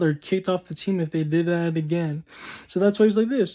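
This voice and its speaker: A high-pitched man with an American accent, at a moderate pace. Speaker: vlogger. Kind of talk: personal storytelling vlog.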